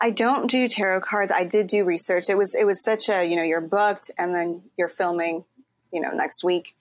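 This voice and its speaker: With an American accent, a woman talks in a plain, everyday voice at a medium pitch. Her pace is moderate and her pitch variation ordinary. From Mexico City and US. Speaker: actor and voice actor. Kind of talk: casual chat.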